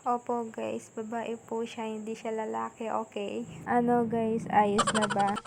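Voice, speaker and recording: Soft-spoken and fairly high-pitched, a woman speaks at a fairly slow pace with monotone, flat intonation. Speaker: student vlogger. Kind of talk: vlog narration.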